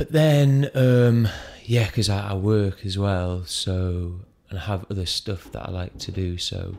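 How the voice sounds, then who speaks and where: Quiet and fairly slow, a man speaks with a British accent. His pitch is fairly low and his tone dark and mellow. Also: ordinary pitch variation. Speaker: stand-up comedian. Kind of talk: casual chat.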